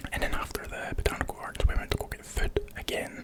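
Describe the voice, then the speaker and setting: A man whispers at a fairly quick pace. Noticeable background noise runs under his voice. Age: 20s. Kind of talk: casual vlog narration.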